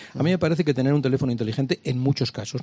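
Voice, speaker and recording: A man's somewhat breathy voice, dark and mellow in tone, medium in pitch, with ordinary pitch variation and a very fast pace. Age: old. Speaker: comedian and TV presenter. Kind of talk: radio interview.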